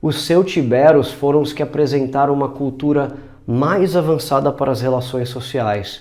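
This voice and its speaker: A man with a Brazilian accent speaks at a moderate pace in a fairly high pitch, his tone dark and mellow. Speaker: language teacher. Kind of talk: educational narration.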